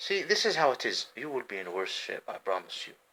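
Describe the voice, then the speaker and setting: A man with an Arabic accent at a fairly quick pace. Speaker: homeless vlogger. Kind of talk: rambling monologue vlog. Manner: halting.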